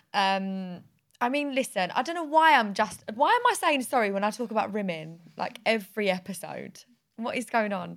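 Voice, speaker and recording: At a moderate pace, a woman with a British accent talks in a fairly high voice with lively intonation. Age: 20s. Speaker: podcast host. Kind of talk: casual chat.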